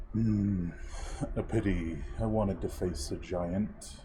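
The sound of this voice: Over clear background noise, a man uses a put-on character voice that is booming and fairly low in pitch. He speaks at a fairly slow pace.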